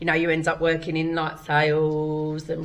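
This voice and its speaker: There's audible room echo around a woman speaking at a fairly low pitch. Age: 40s. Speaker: stand-up comedian. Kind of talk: casual chat. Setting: comedy club stage.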